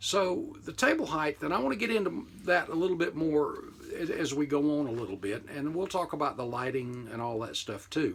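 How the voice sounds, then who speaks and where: The man's voice sits at a fairly high pitch and moves through very wide pitch swings. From United States. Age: 60s. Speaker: model car hobbyist YouTuber. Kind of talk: casual commentary to camera. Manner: conversational with frequent fillers.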